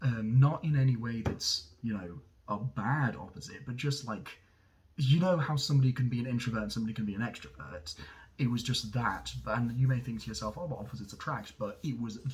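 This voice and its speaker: A somewhat breathy man of medium pitch talks at a fairly quick pace. His pitch variation is ordinary. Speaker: vlogger. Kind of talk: casual monologue. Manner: halting, many fillers.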